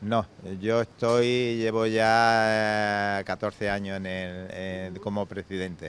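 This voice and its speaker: Very slow and monotone, a man speaks with flat intonation at a fairly low pitch. The sound is dry, with no echo. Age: old. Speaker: fishing club president. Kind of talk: interview. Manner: halting. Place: bar. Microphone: handheld.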